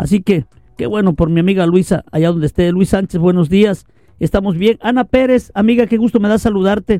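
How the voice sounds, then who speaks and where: A man with a high pitch and a dark, mellow tone talks at a fairly quick pace. The sound is dry and close, with no echo. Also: ordinary pitch variation. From Veracruz, Mexico. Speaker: radio news host. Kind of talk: casual news show hosting. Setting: live online radio studio.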